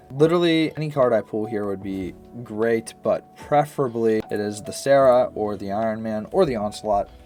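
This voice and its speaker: Medium-pitched male speech with lively intonation at a moderate pace, music playing in the background. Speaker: gaming streamer. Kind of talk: live gameplay commentary. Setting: livestream. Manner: casual.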